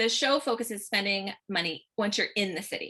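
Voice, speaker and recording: A woman with an American accent speaks at medium pitch against a quiet background. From Central New Jersey. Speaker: blogger interviewer. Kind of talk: interview.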